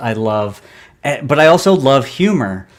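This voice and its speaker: A man is speaking. His pace is fairly slow. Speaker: comic book writer and artist. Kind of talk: interview. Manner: halting.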